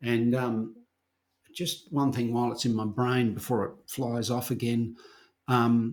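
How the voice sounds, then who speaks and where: The man speaks in a flat monotone. He leaves long, frequent pauses. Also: medium pitch for a man, fairly slow pace. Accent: Australian. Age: 60s. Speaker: herbalist and herbal educator. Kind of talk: casual chat.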